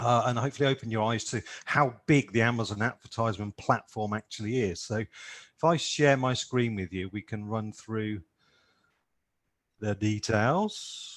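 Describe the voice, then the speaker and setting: A man talks at a moderate pace and medium pitch, with ordinary pitch variation. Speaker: PPC expert and Amazon seller. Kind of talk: webinar presentation.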